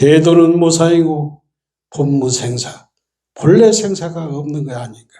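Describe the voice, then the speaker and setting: A man talks at a very slow pace with a fairly high pitch. His tone is dark and mellow. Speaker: Buddhist monk giving a dharma talk. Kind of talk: sermon. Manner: casual storytelling with frequent fillers.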